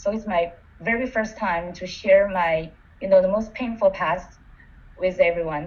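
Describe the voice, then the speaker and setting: Noticeable background noise sits behind a woman whose intonation stays fairly even. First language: not English. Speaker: coach. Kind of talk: webinar participant reflection. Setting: online webinar.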